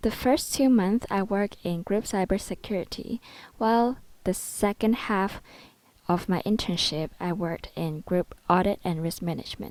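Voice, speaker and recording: Speaking with a Cantonese accent at a moderate pace, a woman uses a medium pitch and ordinary pitch variation in a very clean recording with a silent background. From Hong Kong. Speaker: student. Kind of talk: presentation. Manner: formal.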